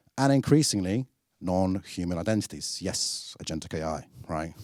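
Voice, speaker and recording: Lively intonation and a moderate pace mark this voice with a British accent. The sound is dry and close with no echo, on a very clean recording with a silent background. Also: man. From UK. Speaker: product marketing director, keynote speaker. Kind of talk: conference keynote. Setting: stage with audience. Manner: animated.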